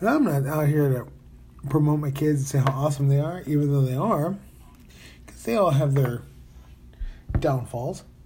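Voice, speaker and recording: A man with a fairly high pitch speaks at a moderate pace, leaving long, frequent pauses. His tone is dark, mellow and somewhat breathy, with audible room echo. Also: ordinary pitch variation. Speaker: podcaster. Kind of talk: casual monologue. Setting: hotel room.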